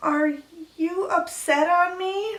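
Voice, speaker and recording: A woman puts on a character voice with an extremely high pitch. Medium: comedy sketch. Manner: naive, childish, mangles grammar.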